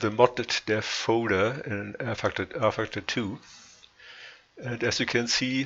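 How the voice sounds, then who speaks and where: There is noticeable background noise as a man speaks fairly slowly. His medium-pitched voice keeps a fairly even intonation. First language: not English. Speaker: sim racing modder. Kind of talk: tutorial. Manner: halting, frequent pauses.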